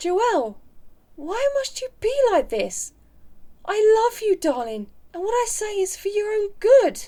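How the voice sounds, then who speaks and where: A woman's put-on, squeaky character voice at an extremely high pitch, with lively intonation, big swings in loudness, a fairly slow pace and long, frequent pauses. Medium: audio drama. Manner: tender, earnest.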